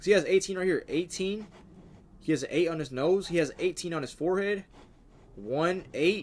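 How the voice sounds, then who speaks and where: This man's voice sits high in pitch. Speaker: streamer reacting to videos. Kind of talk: live stream reaction commentary. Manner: fast; animated.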